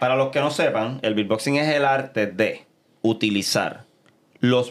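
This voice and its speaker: In a very clean recording with a silent background, a man talks at a fairly slow pace with ordinary pitch variation. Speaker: beatboxer. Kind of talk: interview.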